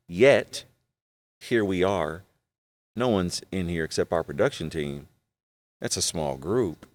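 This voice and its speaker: Speaking at a fairly slow pace with long, frequent pauses, a man uses a very deep, low voice and lively intonation, the sound dry and close with no echo. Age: 40s. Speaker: pastor and podcast host. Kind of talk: casual chat. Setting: studio.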